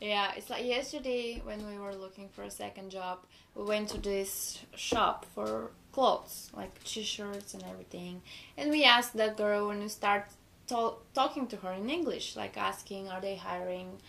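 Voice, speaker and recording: Here a woman speaks with a Bulgarian accent. She keeps a moderate pace. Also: medium pitch for a woman, ordinary pitch variation, big swings in loudness. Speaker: exchange student. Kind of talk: casual chat.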